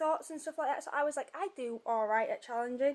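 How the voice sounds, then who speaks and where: This woman has a Yorkshire accent and a high pitch. Her pitch varies in an ordinary way. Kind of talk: casual talk to camera. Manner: hesitant, conversational.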